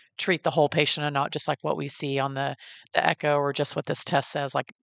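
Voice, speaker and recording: A woman's very deep, low voice in a Texas accent at a very fast pace, dry and close with no echo, against a quiet background. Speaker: podcast host and NICU parent. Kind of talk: interview. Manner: casual, conversational.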